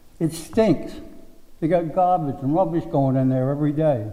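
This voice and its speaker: A man's fairly high, dark, mellow voice at a moderate pace, with ordinary pitch variation and audible room echo. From Rhode Island, South Kingstown. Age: 80s+. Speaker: resident giving public comment. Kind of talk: public comment at town meeting. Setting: town planning board meeting.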